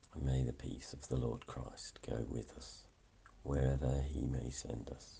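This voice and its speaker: A man with a very deep, low pitch, monotone and flat, at a fairly slow pace, with big swings in loudness over noticeable background noise. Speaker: morning prayer leader. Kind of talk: fervent prayer, led devotional liturgy. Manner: earnest, fervent, heartfelt; measured, reverent, steady pace.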